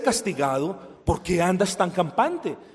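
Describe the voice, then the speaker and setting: Lively intonation marks this man's high-pitched voice, which moves at a moderate pace over noticeable background noise. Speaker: preacher. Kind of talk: sermon. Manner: loud, raised voice at times.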